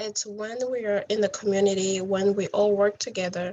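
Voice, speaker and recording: The speaker has a non-native accent and uses monotone, flat intonation at a moderate pace. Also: woman. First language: not English. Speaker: refugee speaker. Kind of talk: motivational talk.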